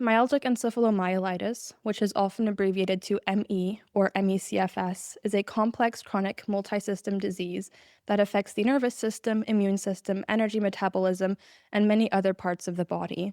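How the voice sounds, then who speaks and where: The voice is shaky and dark, mellow in tone, delivered at a fairly quick pace with monotone, flat intonation in a dry, close sound with no echo and a very clean recording on a silent background. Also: woman, medium pitch for a woman. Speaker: podcast host. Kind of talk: scripted narration. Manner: shaky voice.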